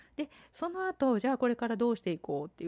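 A woman at a very fast pace with a dark, mellow tone, in a dry, close sound with no echo. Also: very clean recording, silent background. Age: 50s. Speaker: podcast host. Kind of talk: solo podcast monologue. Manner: polite, formal.

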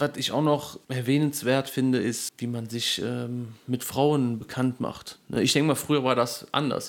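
A man has a plain, everyday voice at medium pitch. His intonation is fairly even, with hardly any pauses. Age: 20s. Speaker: podcast co-host. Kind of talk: casual chat.

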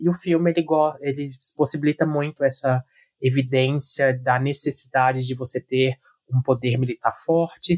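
A man speaks at a medium pitch, somewhat breathy. His intonation stays fairly even. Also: dry, close sound with no echo. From Brazil. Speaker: university student. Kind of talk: casual chat. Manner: formal.

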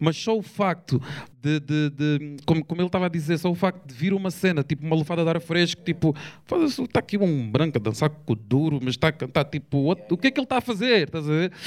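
Dry and close with no echo, a man's fairly high voice races at a very fast pace with lively intonation. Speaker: rapper. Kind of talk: casual chat.

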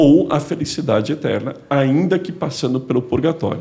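A man with a dark, mellow tone and vocal fry talks at a fairly slow pace. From Santos, São Paulo coast, Brazil. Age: 50s. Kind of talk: podcast conversation.

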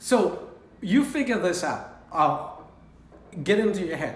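A man speaks at a very slow pace. His high voice has lively intonation. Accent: Cambodian. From Cambodia. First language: Khmer. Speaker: restaurant owner and chef. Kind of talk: casual chat. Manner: animated, laughs a lot; halting.

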